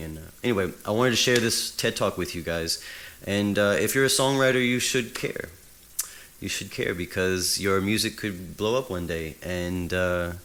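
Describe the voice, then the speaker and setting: Noticeable background noise sits behind this man's voice. He talks at a moderate pace, fairly low in pitch, with ordinary pitch variation. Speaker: music YouTuber and songwriter. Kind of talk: casual video commentary. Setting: talking on camera. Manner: halting, stumbling over words.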